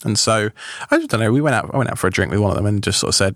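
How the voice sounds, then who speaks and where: A man talks in a British accent at a fairly low pitch, with ordinary pitch variation. The sound is dry and close, with no echo. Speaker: tech podcaster. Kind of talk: casual chat. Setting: studio.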